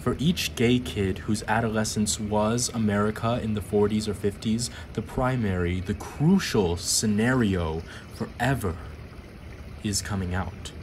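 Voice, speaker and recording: A man talks at a fairly slow pace in a solemn, intense tone, his pitch fairly low with ordinary variation. Noticeable background noise sits under his voice. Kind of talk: poem reading. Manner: slow, measured, deliberate delivery; solemn, intense, emotionally weighty.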